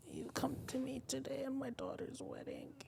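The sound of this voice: A put-on, raspy, menacing character voice in a whisper at a moderate pace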